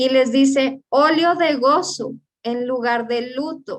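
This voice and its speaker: This is a woman speaking. Her pitch is high. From Colombia. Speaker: preacher. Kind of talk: sermon.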